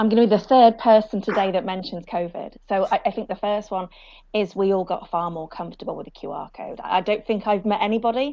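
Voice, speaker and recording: A woman with a British accent talks at a very fast pace in a dark, mellow tone against a quiet background. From UK. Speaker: sustainability panelist. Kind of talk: panel discussion.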